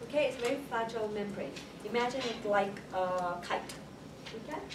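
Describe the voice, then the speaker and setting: A woman speaks at a fairly high pitch and a fairly quick pace. Audible room echo and noticeable background noise surround her. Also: ordinary pitch variation. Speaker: college lecturer. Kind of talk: lecture. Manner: fast; repetitive, frequent 'okay?' checks.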